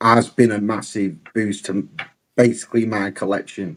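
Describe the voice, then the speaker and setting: Heard in a very clean recording with a silent background, a man speaks at a medium pitch. He has an English accent. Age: 40s. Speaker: toy collector. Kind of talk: casual chat.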